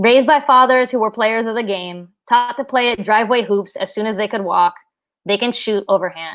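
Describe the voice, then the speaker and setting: Against a quiet background, a normal speaking voice talks at a fairly quick pace with an American accent. Its pitch varies in an ordinary way. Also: woman, fairly high pitch for a woman. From southern West Virginia. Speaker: writer and middle school teacher. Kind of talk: reading aloud. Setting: live stream.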